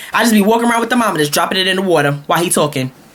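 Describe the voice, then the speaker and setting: Over noticeable background noise, a woman speaks with an American accent. Her tone is animated, and her pitch swings very widely. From Brooklyn, New York. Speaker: vlogger. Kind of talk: comedic rant.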